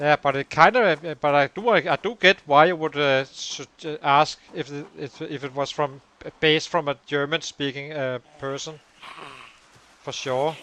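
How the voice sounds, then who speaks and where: In a Danish accent, the speaker moves at a moderate pace with ordinary pitch variation and big swings in loudness, the sound dry and close with no echo. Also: man, fairly high pitch for a man. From Denmark. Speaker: gaming streamer. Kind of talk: live gameplay commentary with chat. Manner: hesitant, many filler words.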